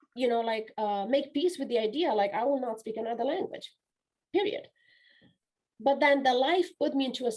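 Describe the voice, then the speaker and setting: In a Romanian accent, a woman talks at a fairly quick pace with lively intonation. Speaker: author and business coach. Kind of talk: interview testimony.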